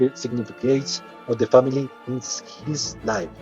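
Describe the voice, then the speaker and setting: Music plays in the background as a man speaks at a fairly slow pace and medium pitch. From Colombia. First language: Spanish. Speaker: English learner. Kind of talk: audiobook reading.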